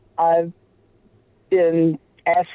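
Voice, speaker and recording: A woman with a Louisiana accent speaks at a fairly low pitch. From Louisiana, New Orleans. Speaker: paranormal investigator and psychic. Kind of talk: interview.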